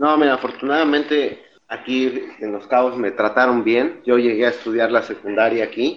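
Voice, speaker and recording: A man talks at a moderate pace in an unremarkable speaking voice. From Mexico City, then Baja California Sur from age 12. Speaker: engineer. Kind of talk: casual chat.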